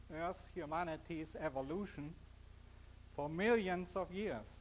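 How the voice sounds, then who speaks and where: A man speaks in a strong German accent at a high pitch. His pace is very slow. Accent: heavy German. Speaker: physicist and author giving a talk. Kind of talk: public lecture. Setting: stage with audience.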